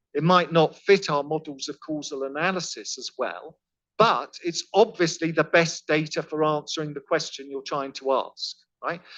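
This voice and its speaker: A man with a British accent talks at a fairly high pitch and a moderate pace. The sound is dry and close with no echo, over a quiet background. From Britain. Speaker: professor. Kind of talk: lecture. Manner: conversational, some false starts.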